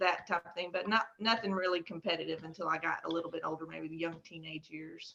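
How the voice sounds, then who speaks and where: Bright and sharp in tone, a woman with a Texas accent talks at a fairly quick pace. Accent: Texas twang. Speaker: horse breeder and exhibitor. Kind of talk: interview conversation.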